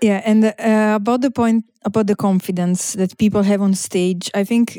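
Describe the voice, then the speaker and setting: In an Italian accent, a woman speaks with a medium pitch and fairly even intonation. Her tone is dark and mellow, and the sound is dry and close with no echo. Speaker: comedian. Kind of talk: casual podcast chat.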